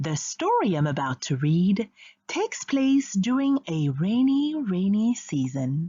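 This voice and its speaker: At a very slow pace, a woman with a medium pitch and somewhat breathy voice speaks with very wide pitch swings. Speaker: audiobook narrator. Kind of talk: children's storybook reading.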